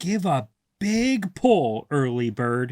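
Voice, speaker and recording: Put-on character voice from a man at a fairly high pitch. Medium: read story. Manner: warm, friendly.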